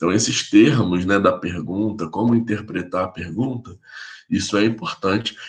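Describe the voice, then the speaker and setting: This is a plain, everyday voice from a man with a fairly low pitch. He talks at a moderate pace with ordinary pitch variation. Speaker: physiotherapy professor. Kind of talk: lecture. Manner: casual, informal.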